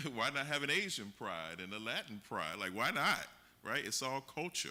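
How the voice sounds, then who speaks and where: With an American accent, the speaker goes at a fairly quick pace in a bright, sharp tone, showing vocal fry and very wide pitch swings. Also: man. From Miami, Florida. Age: 40s. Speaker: workshop facilitator. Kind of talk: community workshop discussion. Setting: museum event with audience.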